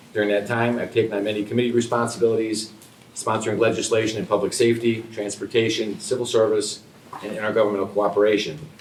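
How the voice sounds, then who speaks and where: A man with an American accent speaks very fast in a fairly low, monotone, flat voice, with audible room echo and noticeable background noise. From upstate New York, Rotterdam. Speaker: political candidate. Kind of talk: candidate forum speech. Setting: public forum room, no microphones. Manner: loud.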